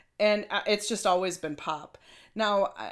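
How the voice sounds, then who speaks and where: A woman with a Minnesotan accent at a moderate pace, fairly even intonation, on a very clean recording with a silent background. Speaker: podcast co-host. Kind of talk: casual chat.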